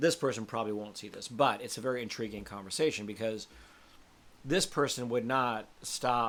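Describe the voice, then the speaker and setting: A man talks in a plain, everyday voice, keeping a moderate pace and ordinary pitch variation. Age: 60s. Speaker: spiritual coach. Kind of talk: casual monologue. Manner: candid conversational, swearing-laced.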